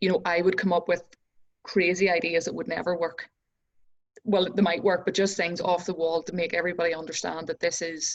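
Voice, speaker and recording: A woman's fairly low voice with a Northern Irish accent, fairly quick and monotone in its flat intonation. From Northern Ireland. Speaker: entrepreneur and success coach. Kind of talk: casual interview chat.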